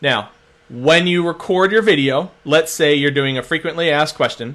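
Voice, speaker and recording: A man's fairly high voice with an American accent and ordinary pitch variation. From Philadelphia, US. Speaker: social media marketer. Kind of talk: webinar-style tutorial. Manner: fast; animated.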